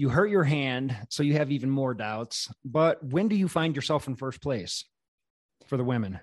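Against a quiet background, a man with an ordinary speaking voice talks at a moderate pace, with a fairly high pitch and lively intonation. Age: 40s. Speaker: podcast host. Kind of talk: casual interview chat.

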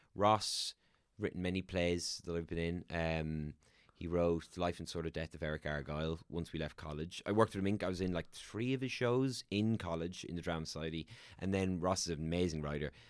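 In a very clean recording with a silent background, a man talks at a fairly quick pace in a very deep, low pitch. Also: ordinary pitch variation. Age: 30s. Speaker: actor and voiceover artist. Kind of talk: casual chat.

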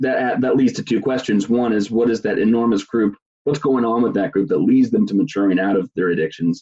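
At a fairly quick pace, a man talks with a fairly low pitch, a dark, mellow tone, a slightly husky edge and ordinary pitch variation.

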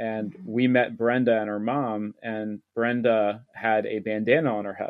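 An unremarkable speaking voice from a man, at a fairly slow pace, with hardly any pauses and fairly even intonation. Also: medium pitch for a man. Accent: American. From Maryland, US. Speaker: author and nonprofit worker. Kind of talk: interview conversation.

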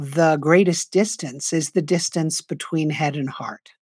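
In a very clean recording with a silent background, a woman with an American accent uses an ordinary speaking voice, fairly low in pitch with ordinary variation. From US, New York City. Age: 60s. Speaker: nonprofit co-founder and author. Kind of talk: interview.

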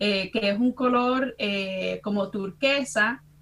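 A woman's voice with ordinary pitch variation. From US Midwest, Chicago (Dominican family). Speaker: university professor. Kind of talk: casual interview chat.

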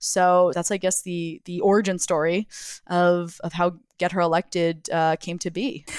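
Flat, monotone speech with an American accent, on a very clean recording against a silent background. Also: woman, fairly low pitch for a woman, moderate pace. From US South, Jacksonville, Florida. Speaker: political organization founder. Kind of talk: interview. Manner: halting, frequent restarts.

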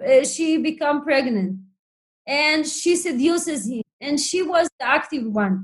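The pace here is fairly slow. Intonation stays lively throughout. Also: woman. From Soviet Union (refusenik family). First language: Hebrew or Russian. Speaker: professor and author. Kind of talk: academic interview. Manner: halting, with many fillers.

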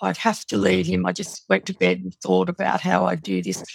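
A woman with an Australian accent talks at a moderate pace, the sound dry and close with no echo. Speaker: domestic violence survivor and author. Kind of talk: testimony.

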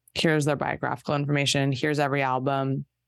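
This woman speaks fairly quickly in a very deep, low voice with a Southern California accent and monotone, flat intonation against a quiet background. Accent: Southern California, Valley Girl speech. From Los Angeles area, California. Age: 40s. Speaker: podcaster. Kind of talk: casual chat.

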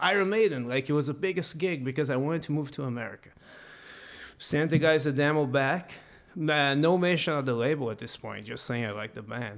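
Heard in a very clean recording with a silent background, a man with a Brazilian accent talks at a fairly quick pace with a fairly high pitch and lively intonation. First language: Portuguese. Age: 30s. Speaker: professional metal guitarist. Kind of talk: casual interview chat.

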